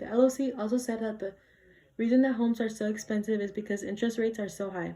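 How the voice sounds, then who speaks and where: In a dark, mellow tone, a woman speaks at a fairly quick pace, somewhat breathy, with monotone, flat intonation. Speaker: student debater. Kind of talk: competitive debate speech.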